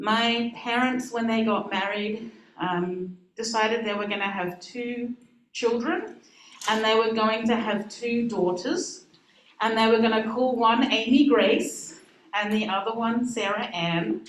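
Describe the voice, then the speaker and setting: Audible room echo and noticeable background noise surround a woman with an Australian accent who speaks at a fairly high pitch with ordinary pitch variation. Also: fairly slow pace. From Australia, Adelaide. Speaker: minister. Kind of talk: talk to congregation.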